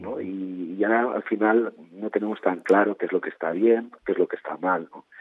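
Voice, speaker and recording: In a normal speaking voice, a man at fairly low pitch talks at a moderate pace with hardly any pauses and fairly even intonation. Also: big swings in loudness. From Spain, Barcelona. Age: 50s. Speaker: novelist. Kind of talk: interview.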